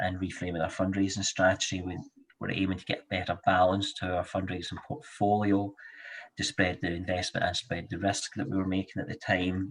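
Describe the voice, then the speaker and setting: Somewhat breathy and very deep, a man's low voice moves at a fairly quick pace in a Scottish accent. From Scotland, Glasgow. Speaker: charity fundraising director. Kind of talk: panel webinar discussion.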